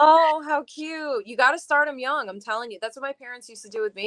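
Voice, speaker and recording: The voice comes at a fairly quick pace with a dry, close sound and no echo. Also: woman. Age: 30s. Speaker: singer. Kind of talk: casual chat.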